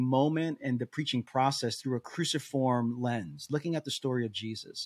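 An unremarkable speaking voice at a moderate pace, with ordinary pitch variation. The sound is dry and close, with no echo. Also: man. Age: 40s. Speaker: lead pastor, podcast co-host. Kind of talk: casual chat.

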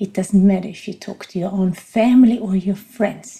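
A woman with a non-native accent, a medium pitch, and ordinary pitch variation. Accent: noticeable non-native. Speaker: podcast host and coach. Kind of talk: monologue podcast talk on voice training. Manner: reflective, speaks from the heart, unscripted.

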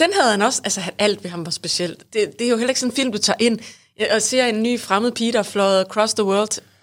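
A woman has an unremarkable speaking voice at a fairly high pitch. She talks at a fairly quick pace with ordinary pitch variation. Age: 40s. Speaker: podcast co-host. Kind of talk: casual chat.

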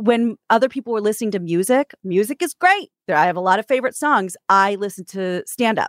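A woman's plain, everyday voice at medium pitch, with an American accent, moderate pace and lively intonation, in a very clean recording with a silent background and a dry, close sound with no echo. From Kansas and New York. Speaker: radio host and author. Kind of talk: casual interview chat.

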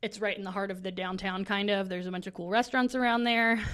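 With an American accent, a woman at medium pitch speaks at a fairly quick pace over a quiet background. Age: 30s. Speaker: podcast host. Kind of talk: casual chat.

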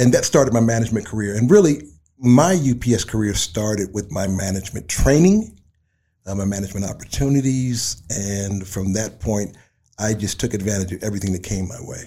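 A man's fairly low, somewhat breathy voice with a dark, mellow tone and ordinary pitch variation, on a very clean recording with a silent background. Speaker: retired delivery company manager. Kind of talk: interview.

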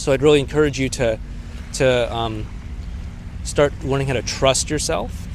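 With long, frequent pauses, a man talks in a room with audible echo and noticeable background noise. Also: moderate pace. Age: 40s. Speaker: relationship coach. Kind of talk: solo video monologue. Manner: casual, with frequent fillers.

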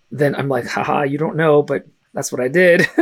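Here a man with an American accent and a plain, everyday voice speaks at a moderate pace in a fairly high pitch with ordinary pitch variation. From US West Coast, San Francisco, Russian-speaking family. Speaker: fantasy author and teacher. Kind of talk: casual chat.

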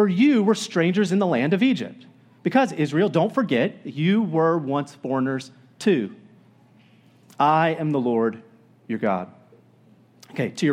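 A man with an American accent talks at a moderate pace in a fairly high pitch, using very wide pitch swings and long, frequent pauses against a quiet background. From Florida. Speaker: pastor. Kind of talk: sermon. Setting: church. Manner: casual.

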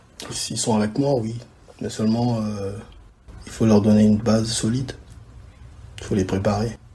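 A man's fairly low voice in a monotone, flat delivery at a moderate pace, with audible room echo. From DR Congo (Kinshasa), moved to Austria at 12. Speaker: videographer and photographer. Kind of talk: interview. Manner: halting, repeats words.

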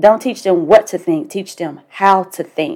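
In a Southern US accent, a woman speaks at a moderate pace with a medium pitch and a dark, mellow tone. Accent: southern twang. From US South. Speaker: life coach podcast host. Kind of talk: motivational monologue. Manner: casual.

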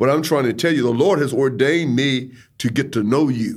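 Over audible room echo, a man talks at a fairly quick pace with ordinary pitch variation. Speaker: bishop. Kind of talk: ministry talk between spouses. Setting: studio. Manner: can sound overpowering.

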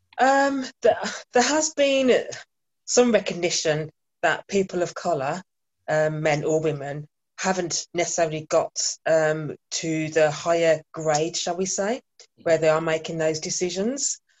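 A woman with a Birmingham accent speaks at a fairly slow pace. Her fairly low pitch moves with lively intonation. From England, Birmingham. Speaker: workplace trainer. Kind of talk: panel discussion.

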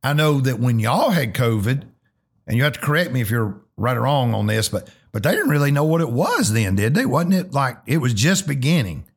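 In a very clean recording with a silent background, a somewhat breathy man with a Southern US accent and medium pitch speaks at a fairly quick pace, with lively intonation and very even loudness. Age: 50s. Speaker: pastor and podcast host. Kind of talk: casual interview.

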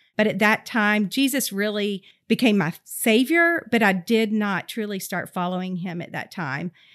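A woman with a Southern US accent, medium pitch, lively intonation, moderate pace and hardly any pauses, on a very clean recording with a silent background. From US South, Georgia. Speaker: preschool director. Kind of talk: interview testimony.

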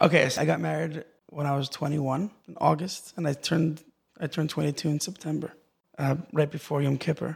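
Somewhat breathy, this voice keeps its intonation fairly even. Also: man, fairly high pitch for a man. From Los Angeles and Israel. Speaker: musician. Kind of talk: interview. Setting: studio.

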